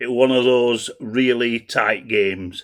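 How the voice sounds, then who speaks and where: A man's medium-pitched voice moves at a fairly slow pace. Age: 60s. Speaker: football fan and groundhopping vlogger. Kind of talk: football match preview chat. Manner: halting.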